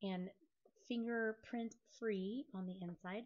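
This woman speaks at a medium pitch with a somewhat breathy quality. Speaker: craft tutorial youtuber. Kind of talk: tutorial.

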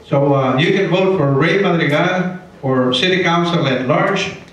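A man talks at a high pitch. Strong room echo surrounds his voice. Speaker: retired judge and council candidate. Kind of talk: candidate debate speech. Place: hall. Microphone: pa.

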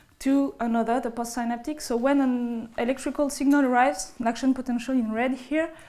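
A woman with a high pitch and a dark, mellow tone speaks at a fairly quick pace with fairly even intonation. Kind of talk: lecture. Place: hall.

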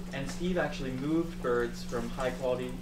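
A man is speaking. There is loud noise in the background. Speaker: presenter. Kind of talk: conference talk. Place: meeting room. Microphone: camera far.

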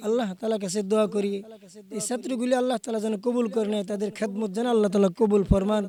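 The man's voice is high in pitch and delivered in a flat monotone. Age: 60s. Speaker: madrasa teacher and mosque preacher. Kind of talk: interview. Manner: halting.

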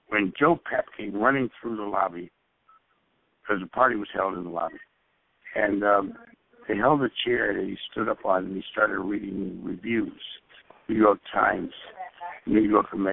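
A man with an American accent and a fairly low pitch talks at a moderate pace with ordinary pitch variation and long, frequent pauses. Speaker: stage and screen actor. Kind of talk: interview storytelling. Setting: phone call.

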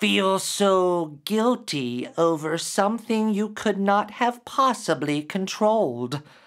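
A man does a put-on character voice at a high pitch and a fairly slow pace, with hissing in the audio. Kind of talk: dramatic story reading. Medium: read story. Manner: hissing then warm. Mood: insistent, revealing.

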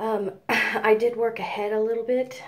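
A woman speaks in a soft-spoken way. Her pace is fairly slow. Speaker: beauty vlogger. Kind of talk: hair tutorial talk to camera. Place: home room. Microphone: phone near.

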